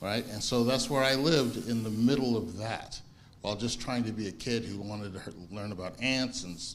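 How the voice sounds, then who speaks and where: A man with an American accent at a moderate pace, medium pitch and ordinary pitch variation, with audible room echo. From US Midwest, early childhood in Italy. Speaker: congregation member. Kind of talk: personal testimony in group discussion. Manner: halting, many restarts and fillers.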